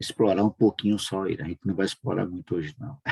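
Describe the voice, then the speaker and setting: A man's very deep, low voice has a dark, mellow tone and a dry, close sound with no echo. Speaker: online prayer meeting host. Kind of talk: casual religious chat.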